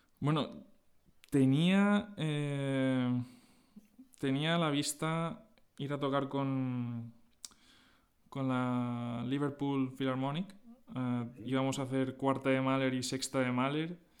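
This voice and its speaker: A man talks at a very slow pace, his medium pitch showing ordinary pitch variation and his speech broken by long, frequent pauses. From Spain, Alicante (Valencia region). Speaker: orchestral clarinetist. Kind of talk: interview. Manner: hesitant, frequent fillers.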